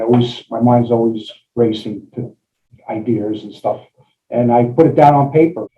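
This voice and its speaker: At a moderate pace, a somewhat breathy man speaks in a medium pitch with fairly even intonation. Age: 60s. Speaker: engineer and novelist. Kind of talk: interview. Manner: halting, many fillers.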